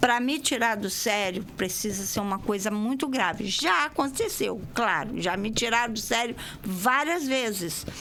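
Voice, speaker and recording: Speech comes at a fairly slow pace with lively intonation and hardly any pauses. Audible room echo and noticeable background noise accompany it. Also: woman, fairly high pitch for a woman. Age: 60s. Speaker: dance teacher. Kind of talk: radio interview. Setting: radio studio.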